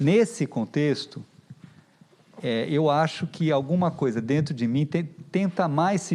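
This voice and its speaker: A man's very slow speech with lively intonation. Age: 60s. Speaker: visual artist. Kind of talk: panel discussion.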